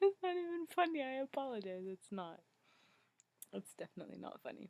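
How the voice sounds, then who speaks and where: Speaking at a fairly quick pace, a woman with a high pitch makes very wide pitch swings and big shifts in loudness, the sound dry and close with no echo. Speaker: video blogger. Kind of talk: casual vlog chat. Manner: quiet, hushed.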